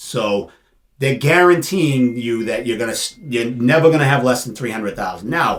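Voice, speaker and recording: Ordinary pitch variation and a moderate pace from a man's medium-pitched, a plain, everyday voice. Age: 50s. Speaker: financial planner and insurance agent. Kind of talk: casual interview.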